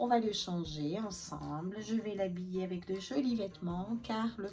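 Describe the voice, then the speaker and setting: A woman's medium-pitched voice at a fairly slow pace, with ordinary pitch variation and noticeable background noise. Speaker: reborn doll maker and vlogger. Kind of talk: casual vlog chat. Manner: chatty, hesitant with many fillers.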